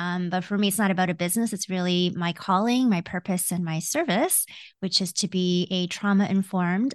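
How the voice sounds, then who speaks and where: A woman with a Canadian accent speaks in an ordinary speaking voice at medium pitch, with fairly even intonation and a moderate pace. The background is quiet, and the sound is dry and close with no echo. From Canada (born Hong Kong, came as baby). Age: 40s. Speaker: executive coach. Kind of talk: casual interview.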